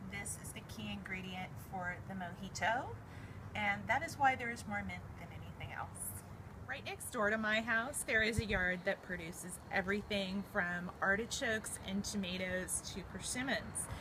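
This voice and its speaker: Audible room echo around a woman with an American accent, speaking at a moderate pace. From US West Coast, Berkeley, California. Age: 40s. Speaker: home cook. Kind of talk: cooking tutorial. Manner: casual, with filler ums.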